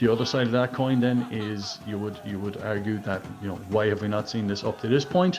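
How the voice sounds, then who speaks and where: A man talks at a fairly quick pace with hardly any pauses, his pitch fairly low with ordinary variation. Music plays in the background. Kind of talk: voice note message. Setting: recorded voice note.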